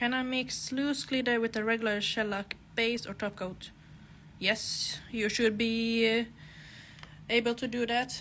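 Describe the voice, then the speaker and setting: With a Finland-Swedish accent, a woman speaks at a fairly slow pace in a monotone, flat intonation, leaving long, frequent pauses. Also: fairly high pitch for a woman. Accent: Finland-Swedish accent, noticeable in English. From Åland Islands, Finland (Swedish-speaking Finn). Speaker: nail technician. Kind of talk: live tutorial with Q&A. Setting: Instagram live stream.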